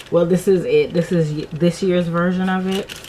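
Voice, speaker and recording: Noticeable background noise accompanies a woman speaking at a fairly low pitch. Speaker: vlogger. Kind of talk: casual vlog chat.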